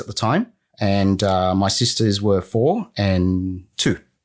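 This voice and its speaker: A man's fairly low voice with an Australian accent, in a very clean recording against a silent background. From Sydney, Australia (southwest), arrived from Vietnam at six. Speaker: former team lead turned small business owner. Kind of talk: casual interview. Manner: halting, with many fillers and restarts.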